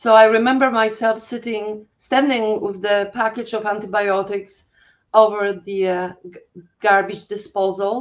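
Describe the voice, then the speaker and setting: In a Polish accent, the speaker talks in a flat monotone with big swings in loudness against a quiet background. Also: woman, fairly high pitch for a woman. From Poland. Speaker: holistic health coach. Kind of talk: interview. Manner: halting, many fillers.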